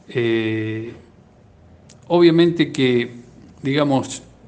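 Pitch varies in an ordinary way as a man talks at a medium pitch. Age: 50s. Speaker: cardiologist. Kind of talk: radio interview.

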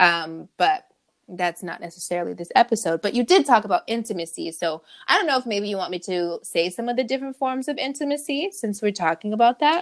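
With an American accent, a woman talks at a fairly quick pace in an animated tone, her fairly high voice making very wide pitch swings over a dry, close sound with no echo. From California. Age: 30s. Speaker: podcast co-host. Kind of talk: casual chat. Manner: animated, laughing often.

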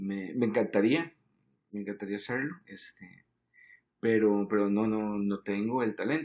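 A man speaks at a fairly slow pace. His voice is fairly low, with ordinary pitch variation. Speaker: advertising creative director. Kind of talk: casual chat. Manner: halting, frequent repetitions.

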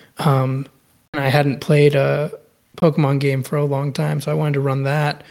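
At a moderate pace, a man with an American accent speaks in a fairly high, monotone voice with flat intonation. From Austin, Texas. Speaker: podcast co-host, anime fan. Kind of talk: casual chat.

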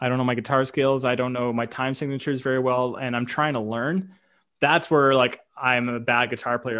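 A man with an unremarkable speaking voice, medium-pitched, at a fairly quick pace with a Canadian accent. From Canada. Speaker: YouTube reaction creator. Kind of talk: casual chat.

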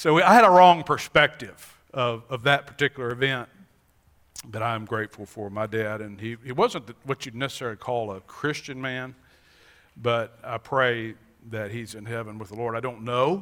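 A normal speaking voice from a man with an American accent, medium pitch with ordinary pitch variation, at a moderate pace with big swings in loudness. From Montana and Wisconsin. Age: 50s. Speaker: pastor. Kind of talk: sermon. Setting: church.

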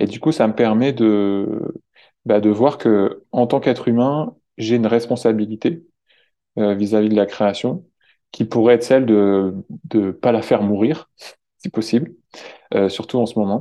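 A man speaks in a medium-pitched voice with a dark, mellow tone. His pitch varies in an ordinary way, and he takes long, frequent pauses. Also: fairly slow pace. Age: 20s. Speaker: environmental volunteer ambassador. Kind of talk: interview. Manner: halting, many repetitions and fillers.

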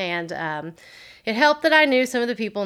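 A woman with a Tennessee accent talks at a fairly quick pace on a very clean recording with a silent background. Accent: Southern US (Tennessee). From US South, Tennessee (Waverly). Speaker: entrepreneur and business teacher. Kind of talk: casual interview.

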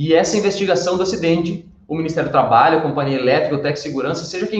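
This man speaks very fast. He uses ordinary pitch variation. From western Santa Catarina, Brazil. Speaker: workplace safety trainer. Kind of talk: casual chat. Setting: auditorium.

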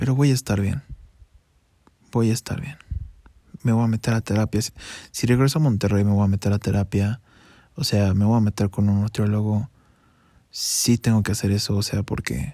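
Quiet and dark, mellow in tone, a man with a Mexican accent speaks with ordinary pitch variation and long, frequent pauses on a very clean recording with a silent background. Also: fairly low pitch for a man, moderate pace, dry, close sound with no echo. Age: 20s. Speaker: podcaster. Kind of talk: personal monologue. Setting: at home under bedsheets. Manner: hushed, quiet.

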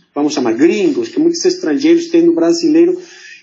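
This man speaks with a Mexican accent. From Mexico City. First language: Spanish (speaking Portuguese). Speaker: diplomat. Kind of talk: interview. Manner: halting.

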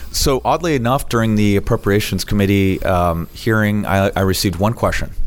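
Using a normal speaking voice, a man talks at a fairly quick pace in a fairly low pitch, with ordinary pitch variation and very even loudness. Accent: American. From South Florida. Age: 40s. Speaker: state land commissioner. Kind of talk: interview. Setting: office.

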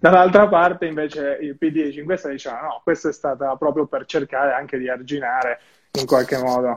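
With a plain, everyday voice, a man talks at a fairly quick pace and a fairly high pitch, using ordinary pitch variation. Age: 20s. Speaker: social media page admin. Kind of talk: interview.

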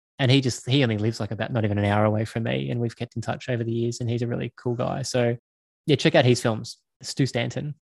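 A man with an Australian accent at medium pitch, very fast pace and fairly even intonation. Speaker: filmmaker. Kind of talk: interview.

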